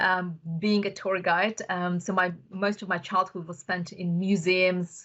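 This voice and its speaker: Over a quiet background, a bright, sharp voice with a Russian accent speaks in a monotone, flat way at a fairly slow pace. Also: woman. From Uzbekistan (Bukhara). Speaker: tech entrepreneur. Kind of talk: podcast interview.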